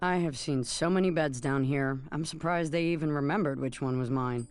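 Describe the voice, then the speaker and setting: A put-on character voice, gravelly and low-to-middle in pitch, at a fairly quick pace with ordinary pitch variation and very even loudness. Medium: video game. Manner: blunt, sarcastic.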